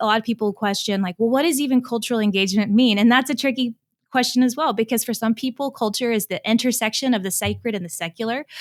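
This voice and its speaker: A woman's fairly high voice with ordinary pitch variation, dry and close with no echo, on a very clean recording with a silent background. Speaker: director of a church convention's cultural engagement center. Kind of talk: podcast interview. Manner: fast.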